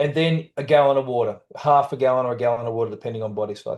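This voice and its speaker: Fairly quick and fairly high-pitched, a man speaks in a dark, mellow tone with ordinary pitch variation. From Australia. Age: 60s. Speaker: trauma coach and author. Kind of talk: interview. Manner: casual.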